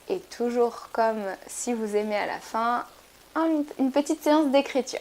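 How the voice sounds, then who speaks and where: Her voice sits high. She talks at a moderate pace. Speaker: yoga teacher. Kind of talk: guided yoga class.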